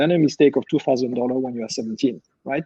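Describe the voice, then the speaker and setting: A man with a French accent and a dark, mellow tone is heard in a dry, close sound with no echo. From France. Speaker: company CEO. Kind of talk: panel discussion.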